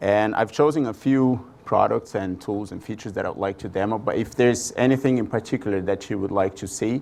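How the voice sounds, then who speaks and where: Speaking at a fairly quick pace, a man with a strong Brazilian accent keeps a medium pitch and ordinary pitch variation. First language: Portuguese. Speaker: product marketing manager presenter. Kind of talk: conference presentation. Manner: hesitant, many fillers.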